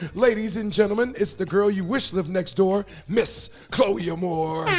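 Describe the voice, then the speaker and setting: With music in the background, a man talks at a moderate pace in a high voice. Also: ordinary pitch variation. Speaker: podcast host, DJ. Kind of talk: show introduction; interview.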